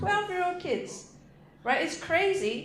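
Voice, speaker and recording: The speaker has a Singaporean accent and a moderate pace, with very wide pitch swings. Noticeable background noise and audible room echo are present. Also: woman. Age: 30s. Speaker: stand-up comedian. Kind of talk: stand-up. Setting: stage with audience.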